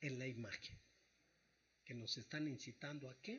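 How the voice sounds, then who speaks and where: This man's voice comes out somewhat breathy. He talks at a fairly slow pace. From Mexico, Tlaxcala. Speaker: psychologist. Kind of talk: radio interview.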